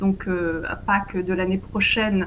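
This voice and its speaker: A woman talks at a fairly slow pace, keeping her intonation fairly even. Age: 30s. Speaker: interviewee on faith and politics. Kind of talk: interview.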